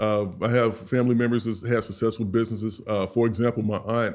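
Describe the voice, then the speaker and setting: On a very clean recording with a silent background, a man speaks at medium pitch and a fairly quick pace in a plain, everyday voice. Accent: American. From St. Louis, Missouri, US Midwest. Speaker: grooming products business owner. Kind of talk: casual interview.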